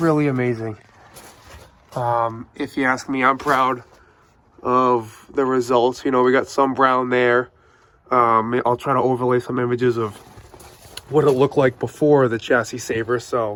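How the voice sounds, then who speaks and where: A man at medium pitch with a New England accent, fairly slow and flat in monotone, with long, frequent pauses. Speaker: car repair youtuber. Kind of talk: casual product review walkthrough. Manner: casual with frequent fillers.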